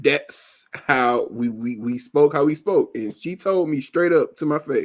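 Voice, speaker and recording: This man has a fairly high pitch and an American accent. He speaks at a fairly slow pace. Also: ordinary pitch variation. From Alabama, US South. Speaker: podcast host. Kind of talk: casual chat.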